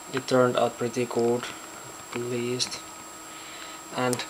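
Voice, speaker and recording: The speaker has a non-native accent. There is light background noise. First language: not English. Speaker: electronics hobbyist. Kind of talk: casual project demo to camera. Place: home room. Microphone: phone near.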